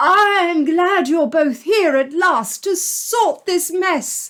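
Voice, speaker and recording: In a put-on character voice with an extremely high pitch, a woman speaks at a very slow pace. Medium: read story. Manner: smarmy, then panicky.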